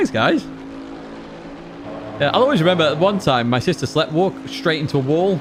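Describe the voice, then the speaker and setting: With lively intonation and a fairly quick pace, a man speaks while noticeable background noise is present. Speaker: sim racing streamer. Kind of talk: live stream chat. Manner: fast; excitable.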